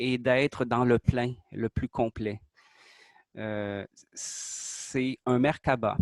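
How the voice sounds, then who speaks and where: At a very slow pace, a man of medium pitch speaks with fairly even intonation in a dry, close sound with no echo. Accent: Quebec. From Quebec. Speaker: artist presenting his creation. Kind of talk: interview explanation. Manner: hesitant, many fillers.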